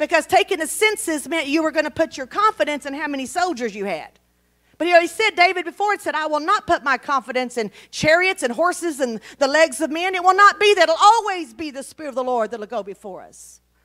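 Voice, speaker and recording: In a raised, projected voice with a bright, sharp tone, a woman speaks at a very fast pace with big swings in loudness. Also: quiet background. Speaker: Bible teacher. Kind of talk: sermon. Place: church.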